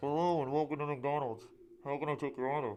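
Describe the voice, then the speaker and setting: Putting on a character voice, a man talks very fast at a fairly high pitch and very even loudness, with clear background noise present. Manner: bubbly, cheerful.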